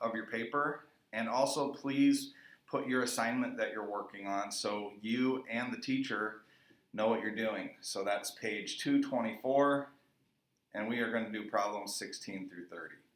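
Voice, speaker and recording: A man speaks in a normal speaking voice. His pace is moderate and his intonation fairly even. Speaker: middle school math teacher. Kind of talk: recorded math lesson.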